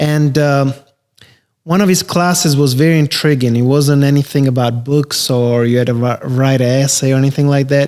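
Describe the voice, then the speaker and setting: In an Albanian accent, a man speaks at a fairly high pitch with fairly even intonation. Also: moderate pace, very even loudness. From Albania, then South Carolina from age 15. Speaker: real estate investor. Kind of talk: podcast interview.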